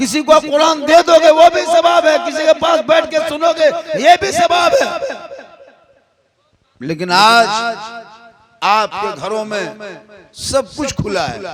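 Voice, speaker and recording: A man speaks at an extremely high pitch with lively intonation. Long, frequent pauses break up his speech. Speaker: Islamic preacher. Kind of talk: religious sermon. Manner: humorous.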